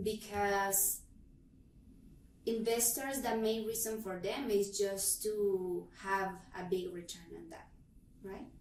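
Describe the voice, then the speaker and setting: A woman with a Spanish accent speaks very slowly at a medium pitch, with fairly even intonation. Her loudness swings widely, and long, frequent pauses break up her speech. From Honduras. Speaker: realtor. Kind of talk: interview answer.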